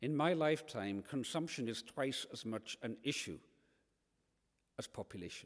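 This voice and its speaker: A Hebridean accent carries lively intonation throughout. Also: man. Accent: Scottish Hebridean. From Scotland, Isle of Lewis. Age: 60s. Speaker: environmental campaigner and author. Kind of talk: lecture. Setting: church hall with live audience.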